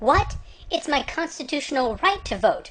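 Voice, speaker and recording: A woman does a put-on character voice, squeaky and extremely high in pitch. She keeps a moderate pace. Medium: cartoon.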